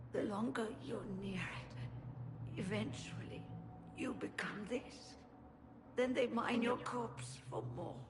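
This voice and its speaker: Someone speaks in a put-on character voice at a fairly slow pace. Background noise can be clearly heard. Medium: video game. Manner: grim, urgent.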